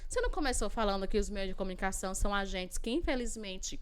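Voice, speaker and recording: An animated tone with very wide pitch swings comes through with audible room echo. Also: woman. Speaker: Portuguese and essay writing teacher. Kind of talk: lecture. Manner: fast.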